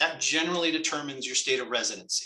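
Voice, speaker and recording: This man speaks at a very fast pace with a fairly high pitch. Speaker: tax and financial advisor. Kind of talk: webinar presentation. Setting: live webinar.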